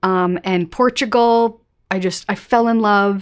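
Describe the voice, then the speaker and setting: On a very clean recording with a silent background, a woman with an American accent speaks at a medium pitch with ordinary pitch variation. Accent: often taken for American. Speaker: travel YouTuber. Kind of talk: live stream chat reading viewer questions. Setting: home live stream with face cam. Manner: casual, filler-heavy.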